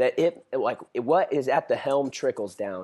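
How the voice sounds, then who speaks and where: A man talks with an American accent at a moderate pace. His pitch variation is ordinary. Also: quiet background. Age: 20s. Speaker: young adults pastor and itinerant preacher. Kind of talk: podcast interview.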